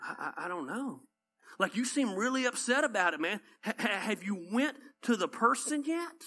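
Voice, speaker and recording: With a Southern US accent, a man speaks in a raised, projected voice at an extremely high pitch. His tone is bright and sharp, his intonation lively, and his pace moderate. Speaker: pastor. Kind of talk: sermon. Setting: church. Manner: animated.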